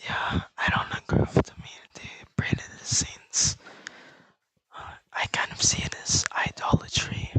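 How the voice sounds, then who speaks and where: The whispered speech goes at a fairly slow pace, broken by long, frequent pauses. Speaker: livestreamer. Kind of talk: casual chat. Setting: online game voice chat. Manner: soft-spoken.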